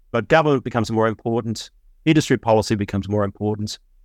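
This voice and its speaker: A man with an Australian accent speaks at a medium pitch, the sound dry and close with no echo in a very clean recording with a silent background. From Melbourne, Australia. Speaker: investment fund founder, physicist. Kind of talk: interview.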